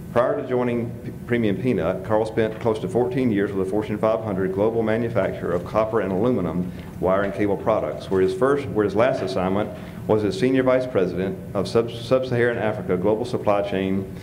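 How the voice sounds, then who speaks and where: Amid noticeable background noise, a man with a fairly low pitch talks at a fairly quick pace. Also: ordinary pitch variation. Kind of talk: speaker introduction. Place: hall. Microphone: podium.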